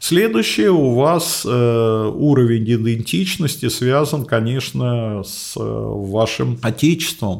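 Speaking at a very slow pace with hardly any pauses, a man shows ordinary pitch variation and big swings in loudness. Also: medium pitch for a man. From Moscow, Russia. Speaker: geography professor. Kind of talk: interview.

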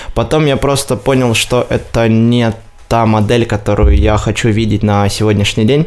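A man with an ordinary speaking voice, medium pitch, fairly even intonation, very even loudness and a moderate pace. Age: 20s. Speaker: marketing agency director. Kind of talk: interview.

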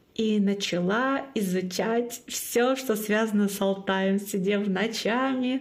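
A woman with a Komi accent. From Komi Republic, northern Russia (Syktyvkar). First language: Komi (speaking Russian). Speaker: podcast host and marathon organizer. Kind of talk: casual interview chat.

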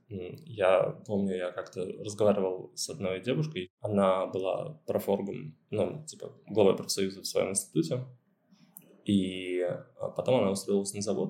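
Dark and mellow in tone, a man speaks at a fairly slow pace in a fairly low pitch with ordinary pitch variation. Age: 20s. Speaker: student media editor-in-chief. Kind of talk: interview. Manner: halting, many fillers.

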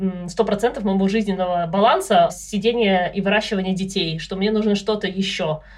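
Noticeable background noise sits behind the speaker. A woman talks at a moderate pace and medium pitch, with fairly even intonation. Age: 30s. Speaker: data analyst, mother of three. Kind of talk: casual chat.

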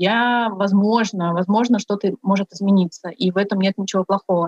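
A woman speaks at a moderate pace in a normal speaking voice with fairly even intonation, recorded with a dry, close sound with no echo. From Buryatia. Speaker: feminist activist. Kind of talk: interview.

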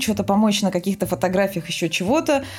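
Somewhat breathy female voice with lively intonation. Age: 30s. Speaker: film production designer. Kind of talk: casual chat. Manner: animated.

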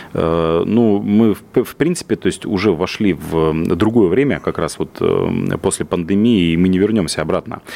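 A man talks in an unremarkable speaking voice at a fairly low pitch. His pitch variation is ordinary. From Russia, Yaroslavl region. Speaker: business development director. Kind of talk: radio interview.

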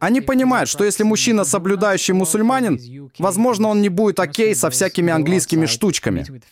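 A man speaks at a fairly quick pace with a high pitch. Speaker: host's husband. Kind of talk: interview.

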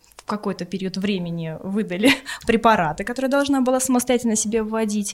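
This woman's pitch is medium and her pace fairly quick. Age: 30s. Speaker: egg donor, TV journalist. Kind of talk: interview.

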